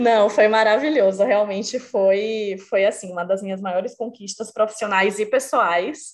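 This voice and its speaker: With hardly any pauses, a woman speaks at a fairly slow pace in a fairly high pitch and ordinary pitch variation. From Brazil, Bahia (Salvador). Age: 30s. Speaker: marketing professional. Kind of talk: casual interview chat.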